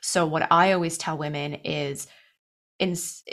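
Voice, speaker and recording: A woman with a Canadian accent, fairly low in pitch, at a fairly slow pace, with an ordinary speaking voice. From Canada (Toronto, Ontario). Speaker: nutrition and wellness coach. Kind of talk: interview.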